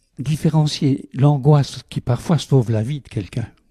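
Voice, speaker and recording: A man's voice comes through dark, mellow and somewhat breathy. The sound is dry and close, with no echo. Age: 80s+. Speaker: meditation teacher. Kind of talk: interview.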